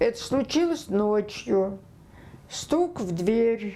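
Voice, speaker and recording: A woman's lively intonation rises and falls as she talks at a very slow pace. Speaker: former Gulag political prisoner. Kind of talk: oral history interview answer.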